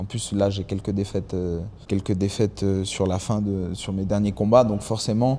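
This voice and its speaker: This man's pitch sits fairly low. He talks at a moderate pace. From France and Mexico. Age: 20s. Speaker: MMA fighter. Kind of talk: podcast interview. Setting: fighting gym. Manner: hesitant, repeats words.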